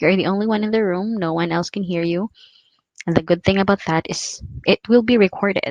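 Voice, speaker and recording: A woman's medium-pitched voice with fairly even intonation and a dry, close sound without echo. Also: fairly quick pace. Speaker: call center career vlogger. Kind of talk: tutorial. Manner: fast.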